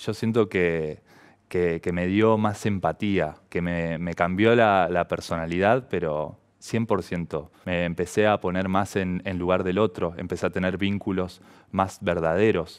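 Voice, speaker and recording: Very slow and very deep in pitch, a man speaks with fairly even intonation against a quiet background. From Argentina, Santa Fe province. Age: 30s. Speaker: professional volleyball player; interviewee. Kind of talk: personal testimony to camera. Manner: halting, many fillers. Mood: calm, reflective. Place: studio. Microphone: headset.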